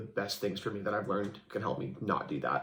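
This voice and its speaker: This is a man speaking. His voice has vocal fry. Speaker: massage therapist with a stutter. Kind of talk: interview. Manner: halting.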